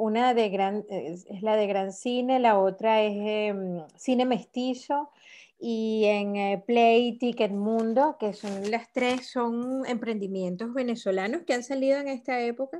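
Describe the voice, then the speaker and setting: A dark, mellow tone at a very slow pace, ordinary pitch variation, and a quiet background. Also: woman, fairly high pitch for a woman. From Venezuela. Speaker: filmmaker. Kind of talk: interview.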